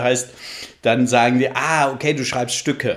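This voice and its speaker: This is a man's voice. It rests at medium pitch. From northern Germany (Flensburg). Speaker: theatre dramaturge. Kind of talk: podcast interview.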